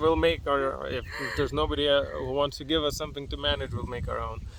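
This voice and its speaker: Over noticeable background noise, a man with a Lithuanian accent talks at a fairly quick pace. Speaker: entrepreneur, vlogger. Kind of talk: casual chat. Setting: outdoors, sitting in a mango tree.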